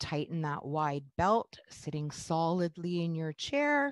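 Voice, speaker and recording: A woman with a fairly low pitch and ordinary pitch variation speaks in a dry sound with no echo against a quiet background. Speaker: fitness instructor. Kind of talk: exercise class instruction. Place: home room. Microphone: headset.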